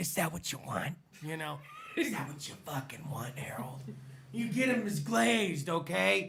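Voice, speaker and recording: A man with an American accent, fairly high in pitch, with very wide pitch swings at a moderate pace and audible room echo. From US South. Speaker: podcast host. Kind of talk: casual chat. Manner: animated.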